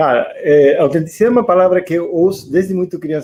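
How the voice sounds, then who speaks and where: A man speaks with an Argentine accent in a fairly high pitch. His tone is dark and mellow. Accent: Argentine accent in Portuguese, noticeable. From Argentina. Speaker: interviewee on a panel. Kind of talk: interview. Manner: halting, with many fillers and repetitions.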